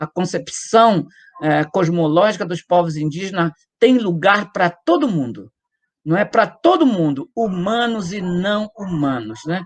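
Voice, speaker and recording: A high-pitched male voice with lively intonation at a fairly slow pace. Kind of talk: interview testimony. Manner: halting, with frequent fillers.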